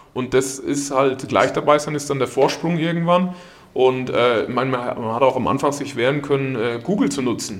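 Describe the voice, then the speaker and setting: Over noticeable background noise and audible room echo, a man speaks at a medium pitch and moderate pace with ordinary pitch variation. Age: 30s. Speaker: company managing director. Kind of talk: podcast interview.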